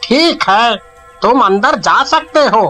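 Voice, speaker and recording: In a cartoonish character voice, a man speaks at an extremely high pitch, raised and projected, with faint music in the background. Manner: timid.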